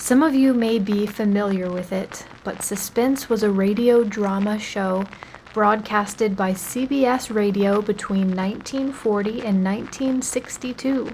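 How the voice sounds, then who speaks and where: A woman with a fairly high voice speaks at a fairly slow pace over noticeable background noise. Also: fairly even intonation. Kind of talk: casual radio-style show introduction.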